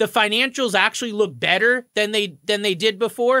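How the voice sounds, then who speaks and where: Raised and projected, a man's high-pitched voice sounds bright, sharp, upbeat and enthusiastic at a fairly quick pace, with a dry, close sound with no echo on a very clean recording with a silent background. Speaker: mortgage broker and podcast host. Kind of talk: radio show talk, informative and conversational. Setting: radio show studio. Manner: upbeat, fluent, enthusiastic.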